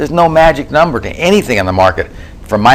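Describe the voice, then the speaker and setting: Noticeable background noise runs through the clip. A man races along very fast, his pitch swinging very widely. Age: 70s. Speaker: trading author and trader. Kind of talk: interview.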